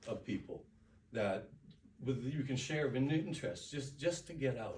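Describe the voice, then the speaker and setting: A somewhat breathy man at a fairly slow pace. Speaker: public speaker. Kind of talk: speech contest address. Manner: reflective.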